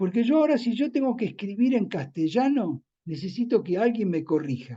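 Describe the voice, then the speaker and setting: Moving at a moderate pace, the voice has a dark, mellow tone and very wide pitch swings. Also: man. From Argentina, Buenos Aires area (San Fernando). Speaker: novelist. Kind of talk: interview Q&A. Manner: repetitive, hesitant.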